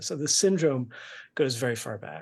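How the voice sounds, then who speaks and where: A somewhat breathy man's voice at medium pitch and a moderate pace. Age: 50s. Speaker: music critic. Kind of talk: onstage conversation. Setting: stage with audience.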